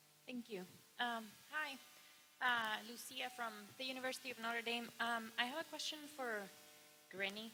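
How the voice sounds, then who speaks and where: A woman's fairly high voice at a moderate pace, with ordinary pitch variation, long and frequent pauses, and music in the background. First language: not English. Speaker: audience member asking questions at academic colloquium. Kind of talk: Q&A question. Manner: halting, many fillers.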